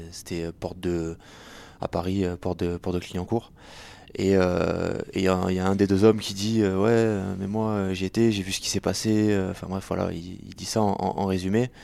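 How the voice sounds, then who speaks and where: Very deep and low, this man's voice has a dark, mellow tone. He speaks at a moderate pace with monotone, flat intonation. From southern France, Béziers. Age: 20s. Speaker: podcast producer, former reporter. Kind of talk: interview.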